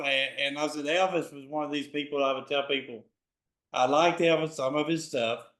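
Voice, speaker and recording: Fairly high in pitch, a man with a Southern US accent talks at a moderate pace with fairly even intonation. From Memphis, Tennessee. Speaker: interviewer, concert promoter. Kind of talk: interview questions.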